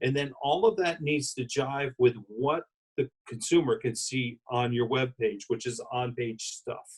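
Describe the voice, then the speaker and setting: A man's somewhat breathy, medium-pitched voice at a fairly slow pace, with ordinary pitch variation and a dry, close sound with no echo. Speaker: wedding industry consultant. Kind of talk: interview.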